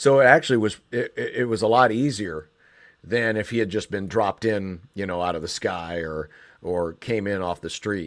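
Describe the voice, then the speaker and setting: A man with an American accent has an ordinary speaking voice, fairly low in pitch with ordinary pitch variation. He speaks at a moderate pace in a very clean recording with a silent background. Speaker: sports radio host and play-by-play announcer. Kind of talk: interview answer.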